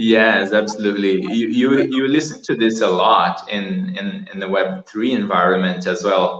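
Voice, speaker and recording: A man speaks in a Portuguese accent with lively intonation. His pace is moderate and he hardly pauses. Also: fairly low pitch for a man. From Brazil. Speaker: artist. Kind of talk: interview on a live stream. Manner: halting with repetitions.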